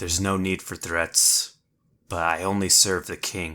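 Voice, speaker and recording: In a put-on character voice, raspy and monotone with flat intonation, the speaker goes at a moderate pace in a very clean recording with a silent background. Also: man, very deep, low pitch for a man. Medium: actual play. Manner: grave, serious.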